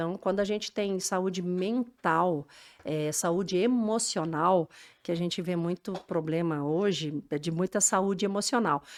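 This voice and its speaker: This woman has a plain, everyday voice at a medium pitch with ordinary pitch variation. She speaks at a fairly slow pace in a very clean recording with a silent background. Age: 60s. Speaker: business executive. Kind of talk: podcast interview.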